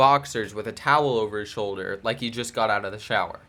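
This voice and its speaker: A man talks in an animated, bright, sharp tone. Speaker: vlogger. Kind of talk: storytelling. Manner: halting, self-correcting.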